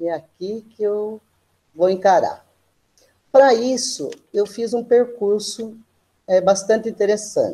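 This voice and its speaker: Pausing long and often, a woman with a fairly high pitch and a dark, mellow tone speaks at a very slow pace. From Brazil, small town in São Paulo state interior. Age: 60s. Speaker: physical education teacher. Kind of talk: guest lecture. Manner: casual, with frequent hesitations.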